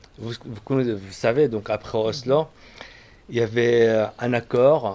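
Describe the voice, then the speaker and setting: A man with an Arabic accent speaks at medium pitch and a fairly slow pace. His intonation is fairly even, with noticeable background noise behind him. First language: Arabic (speaking French). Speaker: agronomist speaker. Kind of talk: public talk. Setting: conference with audience. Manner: halting.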